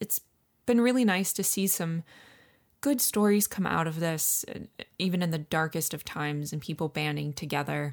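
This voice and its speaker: In an American accent, the speaker goes at a moderate pace with long, frequent pauses on a very clean recording with a silent background. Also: woman, fairly low pitch for a woman, ordinary pitch variation. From upstate New York, Finger Lakes. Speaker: podcast co-host. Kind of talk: casual chat. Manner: animated.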